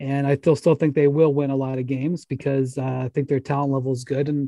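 This man has a normal speaking voice, fairly high in pitch and fairly quick in pace, recorded with a dry, close sound with no echo. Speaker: NBA podcast host. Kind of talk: casual sports chat. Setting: studio, pre-recorded.

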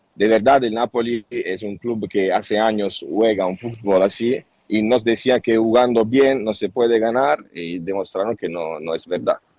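Here a man speaks with an Italian accent at a fairly low pitch. His pace is moderate and his pitch variation ordinary. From Italy, Naples. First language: Italian (speaking Spanish). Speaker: journalist. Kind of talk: interview. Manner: halting.

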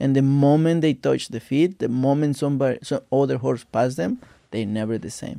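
A man with a Mexican accent talks at a moderate pace in a dark, mellow tone, at medium pitch with ordinary pitch variation. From Mexico, Veracruz. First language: Spanish. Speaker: jockey. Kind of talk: casual chat.

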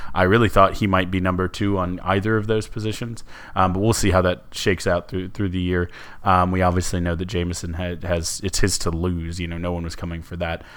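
In a very deep, low voice, a man speaks at a fairly quick pace with monotone, flat intonation. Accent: American. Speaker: sports podcast co-host. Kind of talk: casual chat. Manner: halting, many fillers and repeats; jokey, sarcastic.

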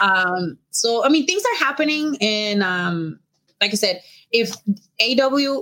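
A woman with a Mexican accent speaks in a bright, sharp tone with lively intonation. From Mexico. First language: Spanish. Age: 30s. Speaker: professional wrestler. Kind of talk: casual interview.

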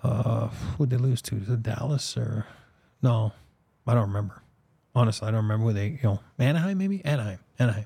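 Speaking very fast yet with long, frequent pauses, a man uses a medium-pitched, somewhat breathy voice with a dark, mellow tone and ordinary pitch variation. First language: French. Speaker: sports podcast host. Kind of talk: casual chat. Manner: filler-heavy, uses um and you know.

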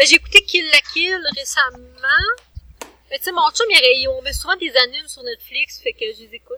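The voice is raised and projected, moving at a moderate pace with very wide pitch swings. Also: woman, extremely high pitch for a woman. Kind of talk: casual chat.

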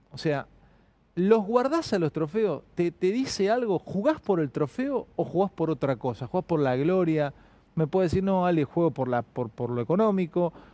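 A man speaks at a moderate pace in a high, dark, mellow voice with very wide pitch swings. The sound is dry and close, with no echo. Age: 40s. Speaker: comedian and interviewer. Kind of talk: casual interview.

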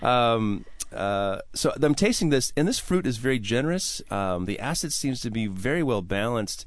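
A man speaks at a moderate pace in a medium pitch, his intonation lively. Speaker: radio host and sommelier. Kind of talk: radio talk show. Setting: studio. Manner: animated.

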